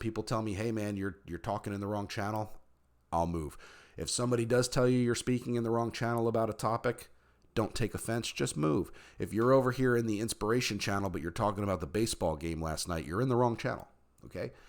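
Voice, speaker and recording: A man with an American accent speaks very fast at medium pitch, with ordinary pitch variation. The recording is very clean, with a silent background. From United States. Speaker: role-playing game storyteller and server staff member. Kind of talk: tutorial. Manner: casual, conversational.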